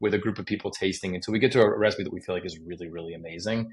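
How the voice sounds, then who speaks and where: Against a quiet background, a man speaks in a somewhat breathy, fairly low voice with ordinary pitch variation. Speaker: chef and magazine editor. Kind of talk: interview conversation. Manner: fast; casual, filler-heavy.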